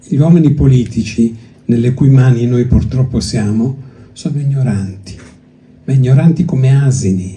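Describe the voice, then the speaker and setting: Speaking at a moderate pace with long, frequent pauses, a man with a Greek accent has a dark, mellow, somewhat breathy medium-pitched voice with ordinary pitch variation, and the room echo is audible. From Greece, then Italy from age six. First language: Greek (speaking Italian). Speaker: poetry publisher. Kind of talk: festival talk. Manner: hesitant, with fillers and restarts.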